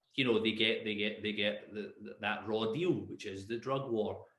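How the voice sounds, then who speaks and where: The speaker here is a man. Audible room echo hangs on his words. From Scotland, Glasgow. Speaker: drug policy expert. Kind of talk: podcast interview. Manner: halting, many repetitions.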